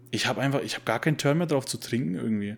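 The speaker is a man. His voice falls at a medium pitch. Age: 20s. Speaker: podcast co-host. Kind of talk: casual chat. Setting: video call.

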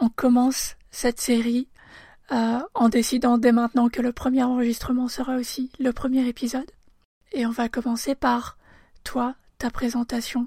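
On a very clean recording with a silent background, a woman speaks at a fairly slow pace with high pitch, a dark, mellow tone, monotone, flat intonation and long, frequent pauses. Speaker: podcast host. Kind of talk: interview.

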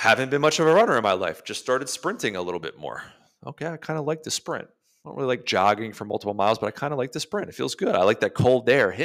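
On a very clean recording with a silent background, a man at a medium pitch talks at a very fast pace in an animated tone, with vocal fry, very wide pitch swings and big swings in loudness. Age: 30s. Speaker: fitness coach. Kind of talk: motivational rant.

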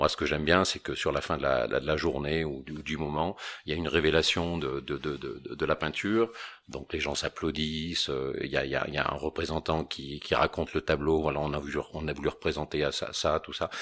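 Very deep, low male voice with vocal fry and fairly even intonation, on a very clean recording with a silent background. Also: moderate pace. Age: 50s. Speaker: painter and founder of a creative agency. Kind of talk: interview. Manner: halting, with repeated words.

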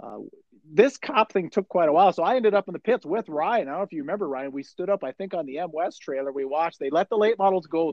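Speaking at a very fast pace, a man with an American accent has a high pitch and lively intonation. His loudness swings widely. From Chisholm, northern Minnesota. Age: 40s. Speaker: podcast host. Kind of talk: casual chat.

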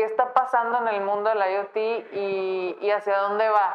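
At a fairly slow pace and medium pitch, a woman speaks in an ordinary speaking voice. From Guadalajara, Mexico. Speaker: podcast host. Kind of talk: interview. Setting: studio.

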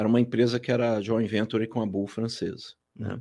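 Over a silent background in a very clean recording, a man speaks at a moderate pace. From Rio de Janeiro, Brazil. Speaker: company president. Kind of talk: casual interview.

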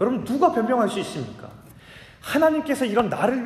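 Audible room echo with noticeable background noise. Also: man. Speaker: pastor. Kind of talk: sermon.

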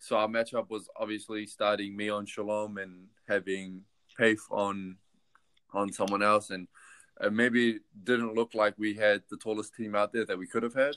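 A man's fairly low, monotone voice with flat intonation at a moderate pace, dry and close with no echo, in a very clean recording against a silent background. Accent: New Zealand. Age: 20s. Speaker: basketball player. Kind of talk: casual interview.

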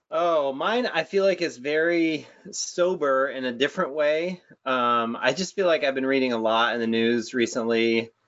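A man with an American accent has a normal speaking voice at a fairly high pitch. He talks at a moderate pace with ordinary pitch variation. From upstate New York. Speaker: higher ed marketing director, podcast co-host. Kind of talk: casual podcast chat.

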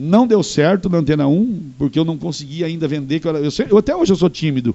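This man talks with lively intonation. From northern Paraná, Brazil. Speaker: radio host and TV presenter. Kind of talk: casual interview chat.

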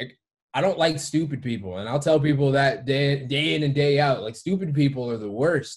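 Somewhat breathy and fairly high in pitch, a man speaks at a moderate pace in an American accent with ordinary pitch variation. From Detroit area, Michigan. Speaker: gym owner and fitness coach. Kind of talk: casual chat.

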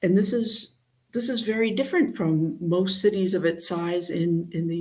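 A woman with an American accent speaks at a moderate pace in a medium pitch, her intonation lively and her voice somewhat breathy. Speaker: mathematician. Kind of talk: interview. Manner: halting.

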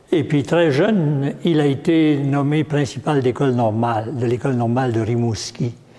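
A man talks at a fairly slow pace with lively intonation and medium pitch. Noticeable background noise runs underneath. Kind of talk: lecture. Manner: halting.

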